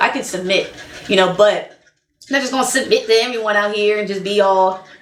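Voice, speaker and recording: Noticeable background noise and audible room echo surround a woman's fairly high voice. Her tone is animated, with ordinary pitch variation. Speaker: relationship vlogger. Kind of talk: casual monologue. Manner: loud.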